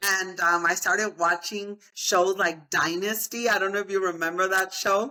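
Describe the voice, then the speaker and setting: With a Spanish accent, this bright, sharp voice moves at a moderate pace with hardly any pauses, very even loudness and fairly even intonation. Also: woman, medium pitch for a woman. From Texas (El Paso). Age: 50s. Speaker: real estate agent and motivational speaker. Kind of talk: interview.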